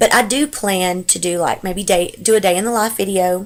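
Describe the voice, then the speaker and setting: A woman with a Texas accent speaks at a medium pitch with ordinary pitch variation, on a very clean recording with a silent background. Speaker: stay-at-home mom. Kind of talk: casual talk to camera.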